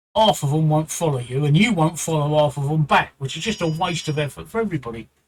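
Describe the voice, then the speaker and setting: A man speaks with a strong British accent. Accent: thick British. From London, England. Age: 60s. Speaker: Twitch streamer. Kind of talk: livestream advice talk. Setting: live stream, home. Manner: repetitive, halting.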